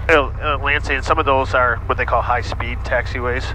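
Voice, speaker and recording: A man talks at a fairly quick pace. The sound is dry with no echo, but background noise is noticeable. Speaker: flight instructor. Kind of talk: instruction. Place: plane. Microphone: headset.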